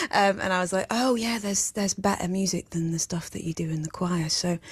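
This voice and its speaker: The speaker has a Yorkshire accent and ordinary pitch variation. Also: woman. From Sheffield, northern England. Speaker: singer-songwriter. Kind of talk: radio interview. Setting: radio studio. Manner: halting.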